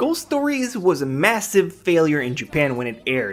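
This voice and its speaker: A man with a French Canadian accent at a moderate pace, very wide pitch swings, and noticeable background noise. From French Canada. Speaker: anime reviewer. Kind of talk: top ten list commentary.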